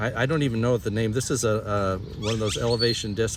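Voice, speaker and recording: Over noticeable background noise, a man speaks at a fairly quick pace in a medium pitch with fairly even intonation. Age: 60s. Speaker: senior disc golfer. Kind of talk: casual interview chat.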